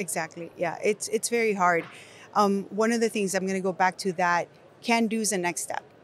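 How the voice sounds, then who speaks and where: A woman speaks with a Nicaraguan accent at a medium pitch. Her intonation stays fairly even. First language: Spanish. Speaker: education company executive. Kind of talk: podcast interview. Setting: conference venue.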